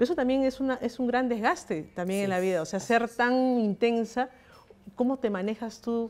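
A woman speaks at a moderate pace. Her pitch shows ordinary variation. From Peru. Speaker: news agency journalist. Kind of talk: interview. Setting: live stream. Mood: warm, smiling. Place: home room. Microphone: handheld.

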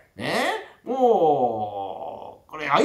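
Room echo can be clearly heard. The voice is a man's. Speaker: rakugo storyteller. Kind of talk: documentary interview anecdote. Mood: lively, amused storytelling. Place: home room.

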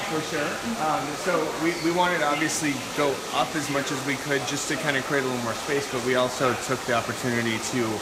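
Loud background noise surrounds a man talking at a very fast pace. His pitch variation is ordinary. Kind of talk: interview answer. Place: shop. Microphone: phone near.

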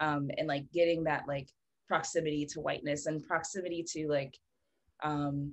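A woman speaks at a moderate pace with a very deep, low pitch and an American accent. Her intonation is monotone and flat over a quiet background. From Philadelphia, US. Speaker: multi-disciplinary artist; guest. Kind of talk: casual chat. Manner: halting. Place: home room. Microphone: video call.

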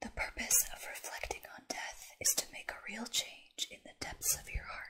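A woman whispers at a moderate pace. Her loudness swings widely. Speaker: content creator. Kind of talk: soft-spoken reading and chat to viewer. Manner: soft, hushed bedtime reading voice. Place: home room.

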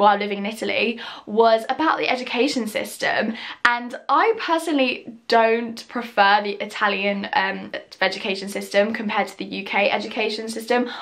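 Her loudness swings a lot as a woman speaks at a moderate pace with ordinary pitch variation over a quiet background. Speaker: vlogger. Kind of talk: casual vlog chat. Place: home room. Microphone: phone near.

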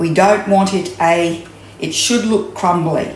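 Slow speech from a woman with a fairly low pitch, set in strong room echo. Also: ordinary pitch variation.

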